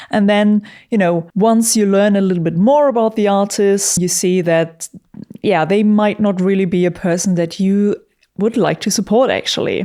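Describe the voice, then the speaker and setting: A woman with a non-native accent speaks at a moderate pace in a medium pitch, her dark, mellow tone held at very even loudness with fairly even intonation on a very clean recording with a silent background. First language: not English. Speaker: YouTuber and metal musician. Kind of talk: casual commentary monologue. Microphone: studio vocal microphone.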